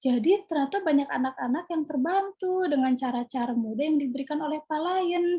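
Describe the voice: A woman's high-pitched voice with a dark, mellow tone at a fairly quick pace. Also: ordinary pitch variation.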